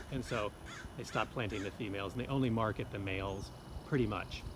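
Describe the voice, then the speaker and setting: Speaking at a very fast pace, a man uses a fairly low pitch with ordinary pitch variation, and the room echo is audible. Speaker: horticulture instructor. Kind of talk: outdoor plant identification lecture. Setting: outdoors, walking neighborhood streets. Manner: quiet, hushed.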